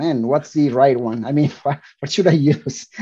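Speaking at a moderate pace, a man with a Spanish accent has a fairly high pitch, a dark, mellow tone and fairly even intonation. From Colombia. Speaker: DevOps engineer. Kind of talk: interview. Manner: hesitant with fillers.

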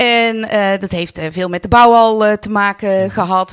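A woman of medium pitch talks at a moderate pace in a monotone, flat intonation. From North Brabant, Netherlands (Vught). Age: 40s. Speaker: carnival club president. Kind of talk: podcast interview. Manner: hesitant, many filler sounds.

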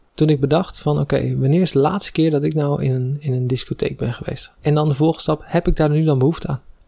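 Somewhat breathy, with a dark, mellow tone, this voice races at a very fast pace with fairly even intonation and hardly any pauses. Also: man, fairly high pitch for a man. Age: 20s. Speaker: recent engineering graduate. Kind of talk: casual chat.

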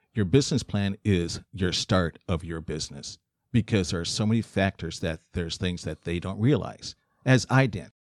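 The sound is dry and close with no echo as a man with a very deep, low pitch talks at a moderate pace. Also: ordinary pitch variation. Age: 60s. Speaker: podcast host. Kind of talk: casual chat.

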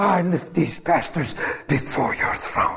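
A man's put-on character voice, high-pitched and at a fairly slow pace. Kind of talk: formal prayer. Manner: pompous, solemn, official-sounding.

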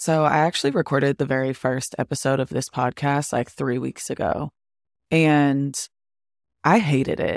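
Moderate pacing on a very clean recording, the background silent. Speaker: podcast host. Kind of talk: solo podcast monologue, casual. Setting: wearing headphones, home recording. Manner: animated, chatty.

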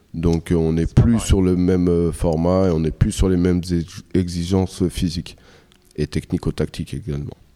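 A man speaks with a very deep, low pitch and a dark, mellow tone. His pace is fairly slow and his intonation fairly even. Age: 40s. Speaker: boxing coach. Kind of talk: interview.

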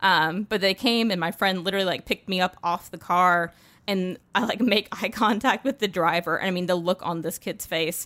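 With an American accent, a woman at medium pitch speaks at a moderate pace in a bright, sharp tone. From US South, North Carolina. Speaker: product strategist at a tech company. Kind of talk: casual interview chat. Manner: animated.

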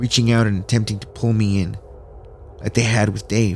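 With an unremarkable speaking voice, a man speaks at a fairly quick pace and a fairly low pitch. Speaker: horror story narrator. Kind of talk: horror story narration, read aloud. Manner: tense, hushed, suspenseful storytelling; casual, upbeat host.

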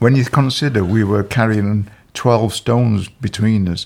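This man speaks with a Yorkshire accent at a fairly low pitch, with fairly even intonation. The recording is very clean, with a silent background. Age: 60s. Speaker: retired police officer. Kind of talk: interview. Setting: at home.

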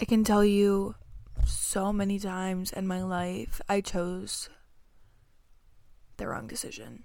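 A woman speaks very slowly with long, frequent pauses and big swings in loudness, in a room with audible echo. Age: 20s. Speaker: podcaster sharing faith testimony. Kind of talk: testimony.

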